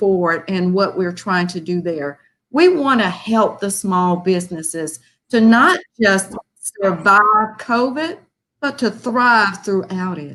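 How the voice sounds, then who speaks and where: A woman's medium-pitched, bright, sharp voice in an American accent, with lively intonation at a fairly slow pace. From US South (Birmingham, Alabama area). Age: 60s. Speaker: foundation volunteer. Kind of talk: appeal speech.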